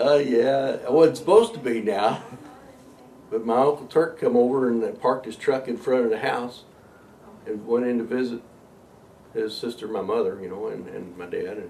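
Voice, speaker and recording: A man with a Kentucky accent talks at a moderate pace and medium pitch, with ordinary pitch variation, big swings in loudness, and long, frequent pauses. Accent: Kentucky Southern US. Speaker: interviewee recalling his life. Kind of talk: life story interview.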